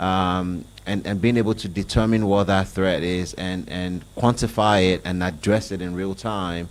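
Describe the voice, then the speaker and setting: The speaker talks at a fairly slow pace in a Nigerian accent. The intonation stays fairly even. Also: man. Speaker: IT business executive. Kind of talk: panel discussion.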